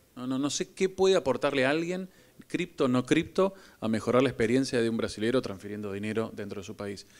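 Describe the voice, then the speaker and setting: With a Rioplatense accent, a man speaks very fast at medium pitch with lively intonation. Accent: Argentine Rioplatense Spanish. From Argentina. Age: 40s. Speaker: crypto company executive; guest. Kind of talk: onstage interview at business event. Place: stage. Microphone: handheld.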